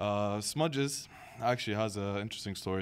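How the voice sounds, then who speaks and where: Here is a man with a normal speaking voice. His pitch sits fairly low. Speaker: podcast host. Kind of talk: podcast host interview questions.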